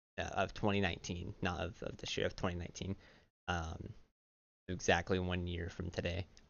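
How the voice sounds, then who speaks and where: A soft-spoken man talks at a moderate pace in a very deep, low voice. His speech has long, frequent pauses. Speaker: YouTuber. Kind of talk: personal vlog monologue. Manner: halting, many fillers.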